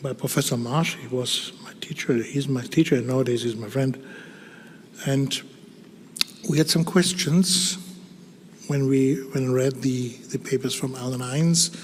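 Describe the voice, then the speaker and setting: Medium-pitched male speech in a German accent at a moderate pace, with ordinary pitch variation, big swings in loudness, long, frequent pauses, and noticeable background noise. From Germany. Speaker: dermatologist. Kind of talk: conference talk. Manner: halting.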